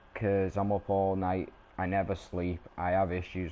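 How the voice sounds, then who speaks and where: A man's very deep, low voice in a British accent, fairly slow and monotone, with flat intonation. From Britain. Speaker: gaming streamer. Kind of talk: live gameplay stream chat.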